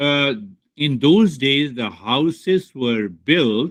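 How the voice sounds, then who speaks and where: This man speaks with an Indian accent and a fairly high pitch. His intonation is lively. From India, Bihar. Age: 60s. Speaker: spiritual teacher. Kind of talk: spiritual talk to students.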